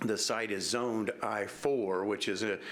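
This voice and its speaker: A mumbling man with an American accent at a fairly slow pace. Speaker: attorney. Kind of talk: public hearing presentation. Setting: public meeting room. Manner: hesitant, many fillers.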